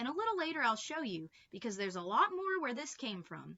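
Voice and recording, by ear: A put-on character voice, fairly quick, with a bright, sharp tone and big pitch swings. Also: woman, fairly high pitch for a woman.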